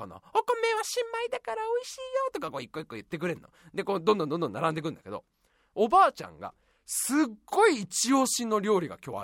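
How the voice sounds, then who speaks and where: A man's very fast, animated delivery with big swings in loudness and long, frequent pauses, in a dry, close sound with no echo. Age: 30s. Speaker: radio podcast host. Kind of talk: casual solo monologue.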